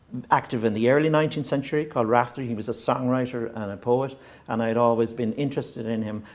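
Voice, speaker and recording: A man with a west of Ireland accent talks at a very fast pace in a medium pitch, with fairly even intonation. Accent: Irish (west of Ireland, Hiberno-English). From Ireland, County Mayo (west of Ireland). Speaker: novelist. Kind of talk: interview. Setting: stage with live audience. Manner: halting, with frequent restarts and fillers.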